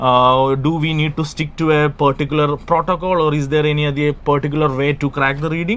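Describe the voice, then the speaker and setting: With a Keralan accent, a man talks at a fairly quick pace in a fairly high pitch, his intonation monotone and flat and his speech carrying hardly any pauses. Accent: Indian English (Malayali). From Kerala, India. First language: Malayalam. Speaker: English exam tutor. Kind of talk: live stream lesson.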